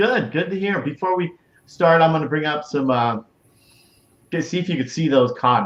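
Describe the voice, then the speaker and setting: A man at a moderate pace with long, frequent pauses, fairly high in pitch with ordinary pitch variation. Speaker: live show host. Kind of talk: casual live interview hosting.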